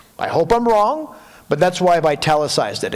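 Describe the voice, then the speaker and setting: Noticeable background noise is present. A man talks over it with ordinary pitch variation. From Quebec. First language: French. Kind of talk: lecture.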